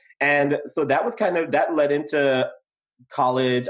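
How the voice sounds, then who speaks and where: Here a man speaks with a Guyanese accent. His pace is moderate. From Guyana. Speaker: podcast co-host. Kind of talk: casual chat.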